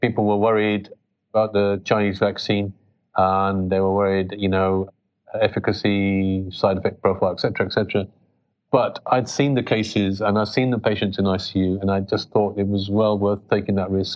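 The speaker has a British accent and a moderate pace. Intonation is flat and monotone, and loudness stays very even. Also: man, fairly low pitch for a man. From England (British Pakistani). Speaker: pediatric intensive care doctor. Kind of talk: interview. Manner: halting.

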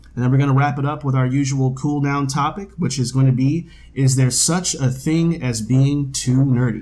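With hardly any pauses, a man speaks in a dark, mellow, somewhat breathy tone and fairly even intonation. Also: medium pitch for a man, moderate pace. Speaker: podcast co-host. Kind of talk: casual chat. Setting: home dining room table.

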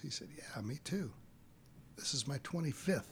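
A man with an American accent speaks with lively intonation and vocal fry. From Texas. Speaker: film property master. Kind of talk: casual interview chat.

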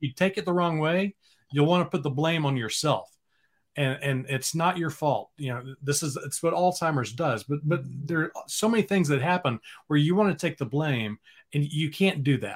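Somewhat breathy, the speaker talks at a moderate pace with an American accent. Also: man, fairly high pitch for a man, ordinary pitch variation. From Texas, Dallas area. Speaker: former TV sportscaster. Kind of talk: casual chat.

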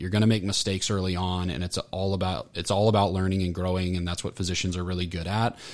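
Fairly even intonation marks this voice with an American accent. The recording is very clean, with a silent background. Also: man. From Florida, Orlando. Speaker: healthcare marketing consultant. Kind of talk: interview.

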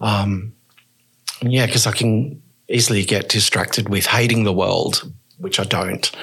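A man with an Australian accent talks at a fairly slow pace, leaving long, frequent pauses. His medium pitch shows ordinary variation, and his loudness stays very even. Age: 50s. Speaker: person who injects drugs. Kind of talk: interview, personal story.

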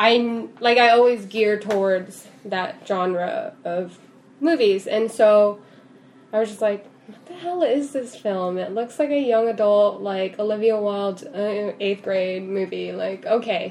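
Over noticeable background noise, the voice moves at a fairly slow pace with ordinary pitch variation and big swings in loudness. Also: woman. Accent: American. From California (Central Valley). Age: 20s. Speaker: filmmaker. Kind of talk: casual chat.

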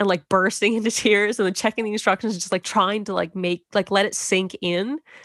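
In a dry, close recording with no echo and a quiet background, a woman with an ordinary speaking voice talks at a moderate pace and medium pitch. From Canada. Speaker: mother sharing birth story. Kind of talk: testimony.

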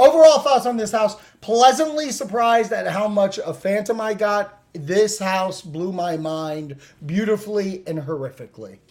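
A man talks loudly at a moderate pace. His high voice has lively intonation. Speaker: podcast host.

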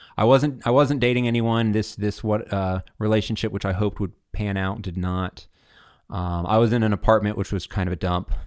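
A man with a Southern US accent speaks in a fairly low pitch with fairly even intonation. The recording is very clean, with a silent background. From Alabama, Montgomery. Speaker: seminarian. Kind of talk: casual interview.

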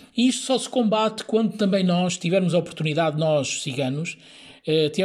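This man's pitch is high. He talks at a fairly quick pace with ordinary pitch variation. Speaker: Roma community activist. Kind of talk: interview.

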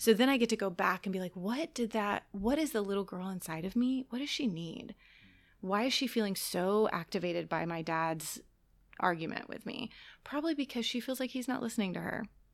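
In a very clean recording with a silent background, a normal speaking voice moves at a fairly quick pace with lively intonation. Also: woman, fairly high pitch for a woman. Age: 30s. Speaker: church soul care director and mental health counselor. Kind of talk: casual chat. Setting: studio.

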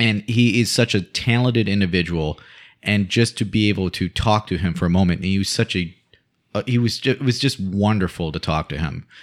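In an unremarkable speaking voice, a man talks at a fairly quick pace with a fairly low pitch and ordinary pitch variation. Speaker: guest co-host. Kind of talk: casual banter, film discussion. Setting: recording studio.

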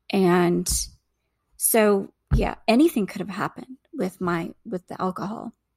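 The voice has vocal fry. Its pitch varies in an ordinary way. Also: woman, medium pitch for a woman, fairly slow pace. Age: 50s. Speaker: registered nurse, abuse survivor. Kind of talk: personal testimony interview.

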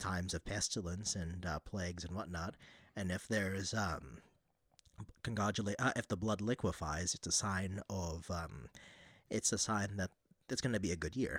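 A man speaks with a very deep, low pitch at a moderate pace and ordinary pitch variation. The recording is very clean, with a silent background. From Philippines. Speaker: religious brother, relic collector. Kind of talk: casual chat.

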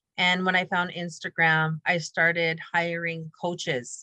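The tone is bright and sharp, with monotone, flat intonation. The sound is dry and close, with no echo. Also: woman. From Canadian Prairies, grew up in Prince Albert area. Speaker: podcast host. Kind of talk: casual interview chat.

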